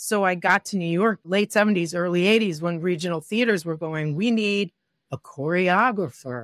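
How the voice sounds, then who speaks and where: Recorded dry and close with no echo, a woman with a normal speaking voice talks at a moderate pace in a fairly low pitch, with ordinary pitch variation. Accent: American. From US Midwest, Detroit. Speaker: director and choreographer. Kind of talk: interview.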